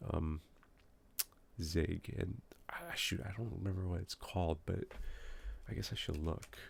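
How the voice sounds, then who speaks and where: Long, frequent pauses break up the speech of a man with a very deep, low voice. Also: ordinary pitch variation. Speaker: software developer. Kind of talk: live coding session. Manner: hesitant, many fillers; loud when excited. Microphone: moved mic closer to speak quieter.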